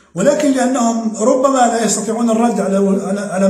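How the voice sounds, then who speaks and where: A man speaks at a moderate pace with ordinary pitch variation, amid audible room echo and noticeable background noise. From Algeria, Oran. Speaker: political commentator. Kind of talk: video monologue. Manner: halting, repeats words.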